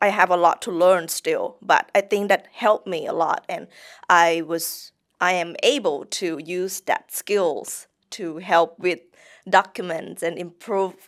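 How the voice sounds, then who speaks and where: At a very slow pace, a woman with a Thai accent speaks at medium pitch with fairly even intonation in a dry, close sound with no echo. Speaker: English teacher. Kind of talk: interview. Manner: halting.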